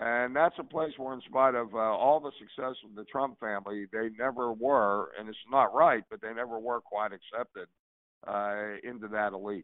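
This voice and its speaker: In an unremarkable speaking voice of medium pitch, a man speaks at a moderate pace with ordinary pitch variation and big swings in loudness. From Pittsburgh, Pennsylvania. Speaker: political commentator, panelist. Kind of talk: casual political panel discussion.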